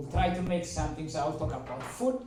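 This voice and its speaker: A man speaks with a strong Eritrean accent at a fairly high pitch. Audible room echo surrounds his voice. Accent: heavy Eritrean. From Eritrea (Asmara). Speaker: mathematician, workshop speaker. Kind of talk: seminar talk to audience.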